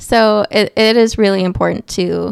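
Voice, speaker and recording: A woman speaks at a fairly slow pace in a very clean recording with a silent background and a dry, close sound with no echo. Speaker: podcast host and aspiring author. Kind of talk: solo podcast monologue. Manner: casual, conversational.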